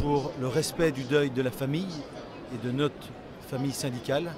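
The sound is dry with no echo as a man talks over noticeable background noise. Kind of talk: interview answer. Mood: aggrieved but calm. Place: hall. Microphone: phone near.

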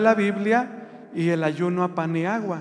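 This man talks at a very slow pace in a high pitch. His pitch variation is ordinary. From Mexico, rural Jalisco area. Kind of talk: religious testimony. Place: church. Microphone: handheld.

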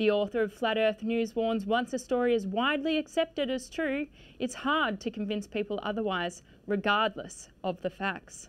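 A woman's fairly high pitch at a moderate pace, an ordinary speaking voice with ordinary pitch variation. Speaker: trainee news presenter. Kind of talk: TV news intro read from autocue. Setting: studio. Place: studio. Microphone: lapel.

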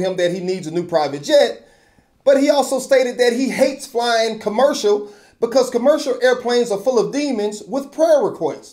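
Against a quiet background, a man talks in a high pitch with ordinary pitch variation. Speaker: video commentator / host of his own channel. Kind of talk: opinion commentary to camera. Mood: skeptical, mildly sarcastic.

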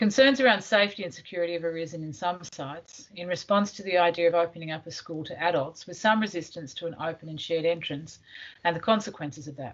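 A woman speaks at a very fast pace with a fairly low pitch and ordinary pitch variation. Her loudness swings widely.

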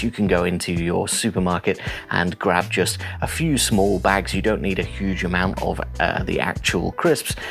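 A man speaks in a very deep, low pitch. Faint music plays in the background. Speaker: photography tutor. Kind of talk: tutorial. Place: home room. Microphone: lapel.

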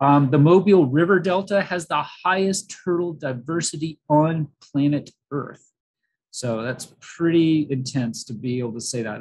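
A man's fairly high, somewhat breathy voice at a moderate pace, with big swings in loudness and ordinary pitch variation. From US South, Florida panhandle. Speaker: biology professor. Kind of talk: lecture. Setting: talk with slides for live audience. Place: home room. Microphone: video call.

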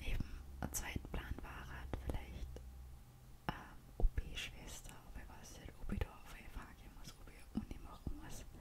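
A woman whispers at a moderate pace, her loudness rising and falling sharply. Background noise is noticeable throughout. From Austria. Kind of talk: ASMR whispered casual talk. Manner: whispered, soft-spoken.

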